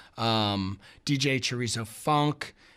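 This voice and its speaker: A very clean recording, silent in the background, with ordinary pitch variation. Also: man. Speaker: music journalist. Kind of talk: radio interview. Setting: radio studio. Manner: energetic.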